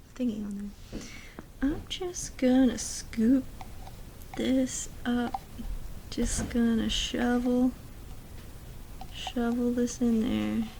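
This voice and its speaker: The speaker whispers at a very slow pace, leaving long, frequent pauses. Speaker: ASMR creator. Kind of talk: ASMR crafting ramble. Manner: whispered.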